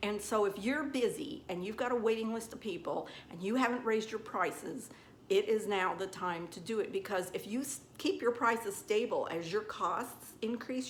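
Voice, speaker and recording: At a moderate pace and with ordinary pitch variation, a woman talks in a Southern US accent amid audible room echo. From US South. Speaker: nail technician. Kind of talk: tutorial. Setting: salon. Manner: casual, chatty.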